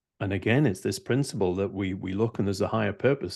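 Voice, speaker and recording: Against a quiet background, a man with a Scottish accent speaks at a fairly low pitch with ordinary pitch variation. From Scotland. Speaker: CEO, author, leadership mentor. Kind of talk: podcast interview answer.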